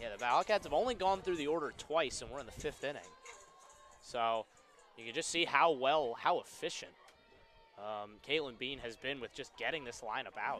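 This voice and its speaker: Over music in the background, a man with a fairly high pitch talks at a moderate pace with lively intonation, big swings in loudness, and long, frequent pauses. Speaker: play-by-play announcer. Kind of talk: live sports commentary, play-by-play. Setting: stadium broadcast booth.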